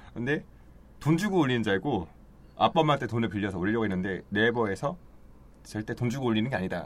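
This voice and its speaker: Pausing long and often, a man with a medium-pitched voice and lively intonation still rattles along at a very fast pace. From Daejeon, South Korea. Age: 30s. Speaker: actor. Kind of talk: casual chat.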